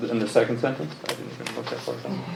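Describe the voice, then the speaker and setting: A soft-spoken man talks very fast at a medium pitch over noticeable background noise. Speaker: planning board member. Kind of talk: board meeting discussion.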